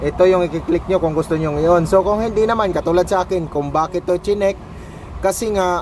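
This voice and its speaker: A man speaks loudly with high pitch and fairly even intonation. Noticeable background noise runs behind him. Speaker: tech youtuber. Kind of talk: tutorial. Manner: casual.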